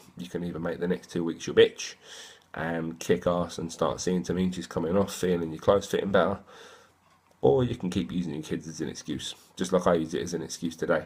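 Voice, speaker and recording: Speaking at a fairly quick pace, a man with an English accent has a very deep, low pitch, and the recording is very clean with a silent background. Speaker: fitness boot camp trainer. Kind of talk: casual vlog monologue. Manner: fast; rambling, slurred words.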